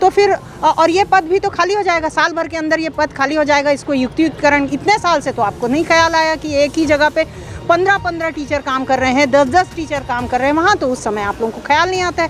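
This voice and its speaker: A woman speaks at an extremely high pitch with lively intonation over noticeable background noise. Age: 60s. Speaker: schoolteacher. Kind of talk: interview with a reporter, voicing a grievance.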